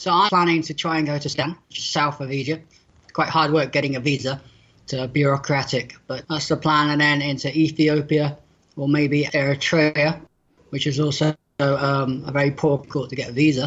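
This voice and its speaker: The speech moves at a moderate pace in a West Country accent. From southwest England, near Bristol. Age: 40s. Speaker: blind world traveller and author. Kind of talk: interview.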